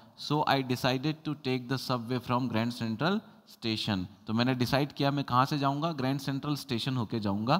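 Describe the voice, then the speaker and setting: Against a quiet background, a man talks at a moderate pace with hardly any pauses and ordinary pitch variation. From India. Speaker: English teacher. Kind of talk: lecture. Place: classroom. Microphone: lapel.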